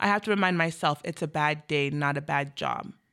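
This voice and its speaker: On a very clean recording with a silent background, a woman with an American accent speaks at a moderate pace with lively intonation. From Washington State, US Pacific Northwest (Federal Way). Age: 20s. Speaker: youth peer support worker. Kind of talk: interview conversation.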